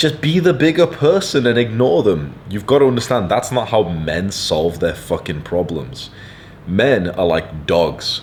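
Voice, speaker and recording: In a British accent, a man talks at a moderate pace with very wide pitch swings. Noticeable background noise can be heard. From UK. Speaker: online content creator, self-improvement advice. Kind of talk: advice monologue reading viewer letter. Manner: animated.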